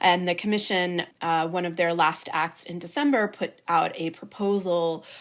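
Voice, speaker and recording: Speaking with an American accent and fairly even intonation, a woman comes through in a very clean recording with a silent background. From United States. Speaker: political journalist and podcast host. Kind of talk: interview.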